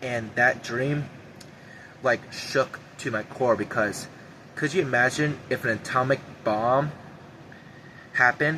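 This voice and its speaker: A shaky man's voice at medium pitch moves at a fairly slow pace, with fairly even intonation and long, frequent pauses. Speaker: YouTuber sharing prophetic visions. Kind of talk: personal monologue to camera. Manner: shaky voice.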